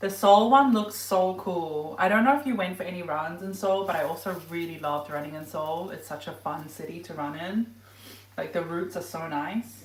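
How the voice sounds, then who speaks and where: The voice moves at a moderate pace with ordinary pitch variation and big swings in loudness, while noticeable background noise runs underneath. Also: woman. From New Zealand. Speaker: running and lifestyle vlogger. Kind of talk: casual livestream cooking chat. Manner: casual, chatty with filler words.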